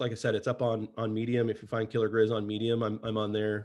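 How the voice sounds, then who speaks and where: This man speaks at a very fast pace in a medium-pitched voice. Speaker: cybersecurity researcher presenting his framework. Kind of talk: webinar presentation. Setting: online webcast. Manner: many fillers and restarts.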